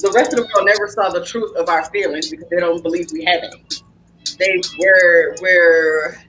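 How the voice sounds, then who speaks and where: A woman speaks at medium pitch and a moderate pace, with ordinary pitch variation and a passionate, animated tone over noticeable background noise. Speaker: podcast host. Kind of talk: casual chat. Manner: not loud, fairly quiet.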